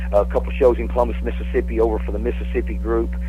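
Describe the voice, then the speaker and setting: With noticeable background noise and audible room echo, a man talks in a very deep, low voice. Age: 60s. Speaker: professional wrestler. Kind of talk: casual chat. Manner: halting.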